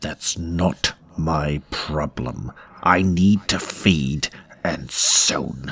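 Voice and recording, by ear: Putting on a character voice, a man speaks at a very slow pace and extremely low pitch with vocal fry, a slightly husky edge, a fairly bright tone and ordinary pitch variation.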